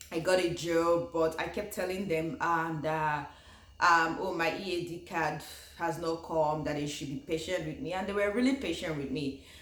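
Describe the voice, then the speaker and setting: A woman with a Nigerian accent speaks at a moderate pace in a fairly low pitch, her pitch varying in an ordinary way, with noticeable background noise. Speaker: YouTuber, former international graduate student. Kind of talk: casual talk to camera.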